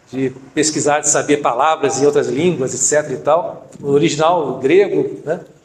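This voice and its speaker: Against noticeable background noise, a man speaks at a moderate pace with a fairly high pitch and fairly even intonation. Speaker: deacon preacher. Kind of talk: sermon.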